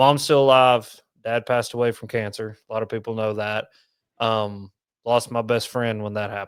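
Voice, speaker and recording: A man with an East Tennessee accent, medium pitch, monotone, flat intonation and a moderate pace, in a very clean recording with a silent background. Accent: east Tennessee Southern. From east Tennessee, Knoxville. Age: 30s. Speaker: fishing content creator. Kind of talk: casual chat.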